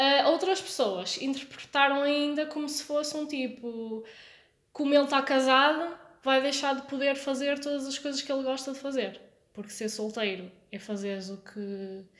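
A woman speaks at a moderate pace in a high pitch with ordinary pitch variation. Her loudness swings widely. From born in France (Lyon), Portuguese podcast. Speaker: podcast host. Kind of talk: casual chat.

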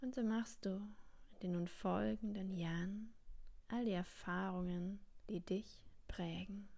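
The voice is calm and soothing, moving at a very slow pace with long, frequent pauses. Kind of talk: guided meditation. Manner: slow, calm and soothing, with long pauses; gentle, warm and unhurried.

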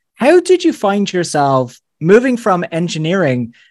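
A man with an Irish accent at a moderate pace, in a very clean recording with a silent background. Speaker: podcast host. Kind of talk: interview.

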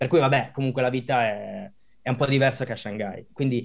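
Here is a man with a normal speaking voice, pitched fairly high. He moves at a fairly quick pace with ordinary pitch variation. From Italy. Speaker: design manager. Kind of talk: interview.

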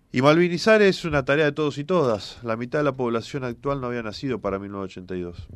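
Here a man speaks with a Rioplatense accent at a medium pitch. He talks at a fairly quick pace, his voice making very wide pitch swings. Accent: Argentine Spanish (rioplatense). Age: 40s. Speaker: politician, candidate for governor. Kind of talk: radio interview.

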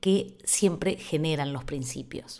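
Lively intonation from a woman at a fairly slow pace, on a very clean recording with a silent background. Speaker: podcast host. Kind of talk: monologue on quarantine diary podcast.

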